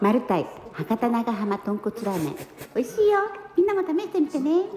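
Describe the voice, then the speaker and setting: Amid light background noise and audible room echo, a woman speaks quickly in a high voice that makes very wide pitch swings. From Fukuoka, Japan. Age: 70s. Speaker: home cook and vlogger. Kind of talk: casual cooking vlog talk to camera. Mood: cheerful, relaxed. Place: home room. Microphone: phone near.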